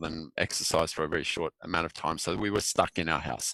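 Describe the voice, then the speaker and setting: In an Australian accent, the speaker talks at a fairly quick pace with fairly even intonation and a bright, sharp tone, on a very clean recording with a silent background and a dry, close sound with no echo. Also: man. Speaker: filmmaker. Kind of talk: interview.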